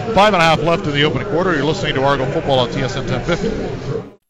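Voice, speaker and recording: Amid noticeable background noise, a man talks at a very fast pace with lively intonation. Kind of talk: live play-by-play radio commentary. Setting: radio broadcast. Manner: brisk, fluent play-by-play delivery calling each down and sack.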